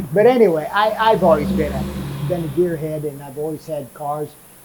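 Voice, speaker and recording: Noticeable background noise can be heard. Over it, a man speaks very fast. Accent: American. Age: 70s. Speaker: retired radiator mechanic. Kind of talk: casual interview. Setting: in his workshop. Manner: halting, repeats words.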